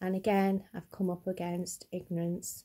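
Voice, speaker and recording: A woman speaks at medium pitch in a dark, mellow tone. Her voice is somewhat breathy. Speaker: vlogger. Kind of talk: personal vlog testimony. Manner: stuttering a little.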